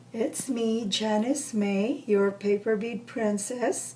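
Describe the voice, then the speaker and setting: Amid noticeable background noise, a woman speaks very slowly in a fairly high voice. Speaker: crafts tutorial maker. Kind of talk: tutorial. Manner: casual, chatty.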